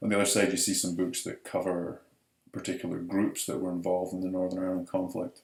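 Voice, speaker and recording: With a Scottish accent, a man talks at a very fast pace. His pitch is very deep and low, and his intonation stays fairly even. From Scotland, Edinburgh. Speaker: professor. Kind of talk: lecture.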